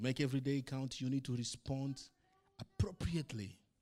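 At a moderate pace, a man of medium pitch speaks with a non-native accent. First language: not English. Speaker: pastor. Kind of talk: sermon. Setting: church.

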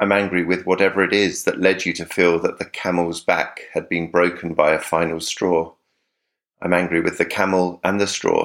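Very deep, low male voice with a southern English accent, monotone and flat, at a moderate pace on a very clean recording with a silent background. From South of England. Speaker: letter writer, podcast contributor. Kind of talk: reading aloud a personal letter.

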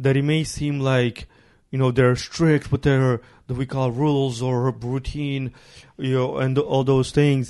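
A man with a Ukrainian accent speaks at a medium pitch. His pace is fairly slow and his intonation monotone and flat. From Ukraine. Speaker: podcast host. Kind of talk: casual chat.

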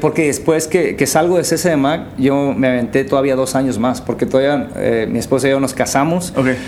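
A man with a fairly high voice talks at a fairly quick clip with hardly any pauses and very even loudness, over noticeable background noise and audible room echo. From Baja California, Mexico (Valle de San Quintín). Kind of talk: casual chat.

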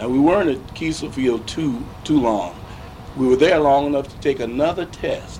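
A man with a fairly high pitch and ordinary pitch variation talks through noticeable background noise. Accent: American. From St. Louis, Missouri (US Midwest). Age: 60s. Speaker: war veteran and retired school principal. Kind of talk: 1980s oral history interview, elder recounting WWII pilot training memories. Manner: unhurried and reflective, with frequent 'uh' hesitations.

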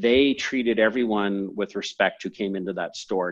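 In a normal speaking voice, a man with a Canadian accent talks at a moderate pace and a fairly low pitch. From Canada, moved from San Francisco at seven or eight. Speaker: entrepreneur and company CEO. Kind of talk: podcast interview. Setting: call.

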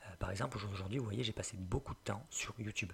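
A man speaks very fast in a fairly low pitch. His voice is somewhat breathy. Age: 20s. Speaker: web entrepreneur and learning podcaster. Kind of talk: solo podcast monologue, tutorial.

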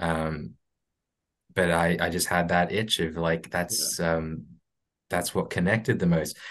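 Against a quiet background, the speaker goes at a fairly slow pace with long, frequent pauses and ordinary pitch variation. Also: man, very deep, low pitch for a man. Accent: Australian. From Brisbane, Australia. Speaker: stop motion animator. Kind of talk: casual interview. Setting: video call. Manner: halting.

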